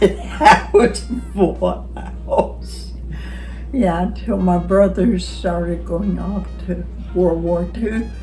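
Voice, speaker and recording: Music plays in the background as a woman with an American accent talks at a very slow pace. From Arkansas, United States. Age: 80s+. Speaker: grandmother. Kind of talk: interview answer, recounting life story. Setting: home recording, informal interview.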